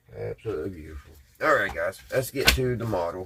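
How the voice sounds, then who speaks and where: Noticeable background noise accompanies a man whose speech moves at a fairly quick pace. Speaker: hobby channel host, model builder. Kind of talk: casual livestream chat while browsing and building.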